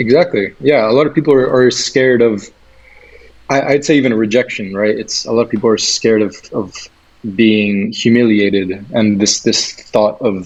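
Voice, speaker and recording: The man's voice sits at medium pitch with ordinary pitch variation. He talks at a moderate pace over noticeable background noise. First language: Catalan. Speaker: freelancer and podcaster. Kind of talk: casual interview chat.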